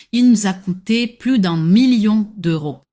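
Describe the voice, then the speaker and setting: A woman speaks very slowly in a somewhat breathy voice with ordinary pitch variation, on a very clean recording with a silent background. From Morocco, near Agadir. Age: 20s. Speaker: personal shopper. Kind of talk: interview. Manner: hesitant, frequent filler sounds.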